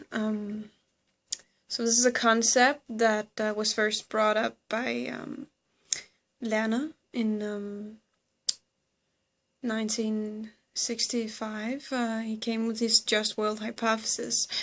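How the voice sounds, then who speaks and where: Very slowly and with long, frequent pauses, a woman with a Danish accent speaks at a fairly high pitch in a monotone, flat intonation. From Denmark. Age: 20s. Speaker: psychology student and video blogger. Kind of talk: educational explainer. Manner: hesitant, many fillers.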